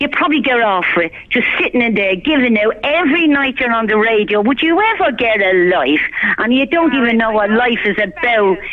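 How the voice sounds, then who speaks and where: With a Dublin accent, a woman talks fairly quickly at a fairly high pitch, her pitch swinging very widely while her loudness stays very even, over noticeable background noise. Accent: Irish (Dublin). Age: 60s. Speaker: caller. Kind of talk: heated rant on a phone-in. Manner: animated.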